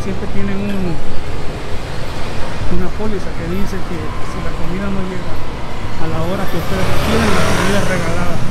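Moderate pace with long, frequent pauses over loud background noise. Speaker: vlogger walking. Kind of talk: casual vlog chat. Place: street. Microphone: phone near.

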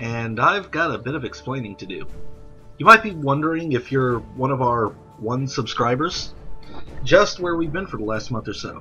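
A man's medium-pitched voice with lively intonation at a moderate pace, music in the background. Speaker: video game commentator. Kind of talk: live game commentary. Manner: casual, conversational.

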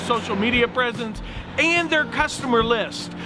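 A man at a moderate pace with an extremely high pitch and ordinary pitch variation, noticeable background noise and a dry sound with no echo. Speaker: auctioneer and real estate broker. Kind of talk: promotional auction announcement to camera. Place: street.

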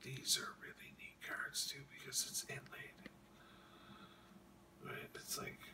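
The speaker whispers very slowly, with long, frequent pauses. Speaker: hockey card collector and ASMR whisperer. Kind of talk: casual talk to camera, card showing. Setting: late night, home recording. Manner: whispered, soft-spoken. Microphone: phone near.

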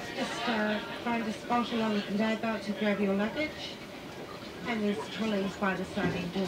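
A woman talks at a medium speed while heavy noise fills the background. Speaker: train staff announcer. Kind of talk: onboard announcement. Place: train. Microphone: pa.

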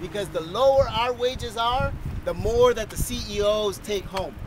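Over noticeable background noise, a man talks at a moderate pace in an energetic tone, with a dry sound and no echo. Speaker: rally speaker, worker coalition representative. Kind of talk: rally speech. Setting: outdoor rally with crowd. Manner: earnest, rallying, energetic; fluent with some filler 'uh'. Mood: passionate, rousing. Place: open country. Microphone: phone near.

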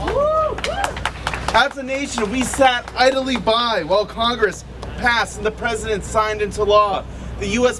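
The speech moves at a moderate pace with crowd noise in the background. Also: man. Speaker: rally speaker for a civil rights group. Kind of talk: rally speech. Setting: outdoor rally with crowd. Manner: impassioned, emphatic. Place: street. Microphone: podium.

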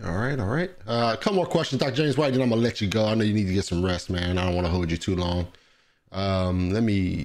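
A man's fairly low voice, very fast, with lively intonation and very even loudness, over a quiet background. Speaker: podcast host. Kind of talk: interview; livestream interview host reading viewer questions. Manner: casual, filler-heavy. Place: studio. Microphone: studio mic.

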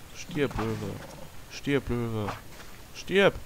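A man talks while noticeable background noise persists. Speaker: gaming video creator. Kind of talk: let's play commentary. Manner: quiet at times; animated, exclamatory.

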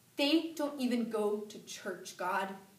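With audible room echo, a woman speaks at a high pitch with lively intonation. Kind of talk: dramatic monologue performance. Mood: grieving, angry, pleading. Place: classroom. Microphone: camera far.

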